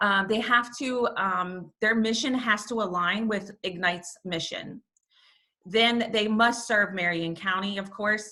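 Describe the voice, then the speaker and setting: Loud and bright with a sharp tone, a woman talks with an American accent. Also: medium pitch for a woman, fairly even intonation, fairly slow pace. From New York. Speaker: nonprofit volunteer leader. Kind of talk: online information session presentation. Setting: video call.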